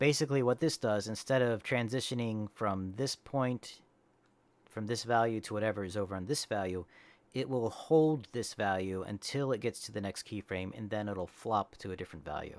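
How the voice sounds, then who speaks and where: Fairly low in pitch, a man talks at a fairly quick pace with ordinary pitch variation. The sound is dry with no echo. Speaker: animator and streamer; streamer. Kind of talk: live stream tutorial. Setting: live stream. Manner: casual, hesitant. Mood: relaxed, self-deprecating. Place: home room.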